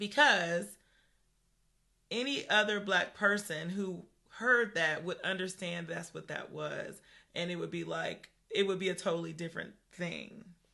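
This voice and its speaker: A woman speaks at a fairly slow pace with vocal fry and a bright, sharp tone. Her delivery is animated, with ordinary pitch variation and big swings in loudness. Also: medium pitch for a woman. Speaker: podcast co-host. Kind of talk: casual chat. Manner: conversational, animated.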